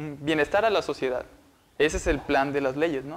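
A man speaks with lively intonation. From Montemorelos, northern Mexico; Nuevo León, Mexico. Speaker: university student. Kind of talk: Bible study discussion. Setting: university meeting room. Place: studio. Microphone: lapel.

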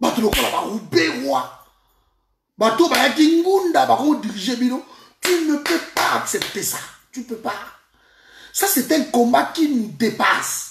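A man speaks at an extremely high pitch with a fairly bright tone and vocal fry. His pace is fairly slow and his intonation lively.

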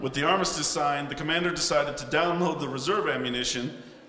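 A man talks at a fairly quick pace with ordinary pitch variation. Room echo is audible, and there is light background noise. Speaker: ceremony narrator. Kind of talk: formal ceremonial narration. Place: hall.

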